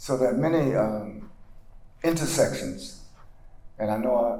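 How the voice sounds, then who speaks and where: A man with a North Carolina accent talks at a fairly slow pace with ordinary pitch variation, over noticeable background noise and with audible room echo. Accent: Southern US (North Carolina). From US South, North Carolina (Granville County). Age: 70s. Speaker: civil rights leader and pastor. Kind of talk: lecture.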